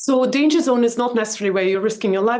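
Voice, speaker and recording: A woman speaks with a non-native accent. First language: not English. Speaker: book club host. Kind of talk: interview.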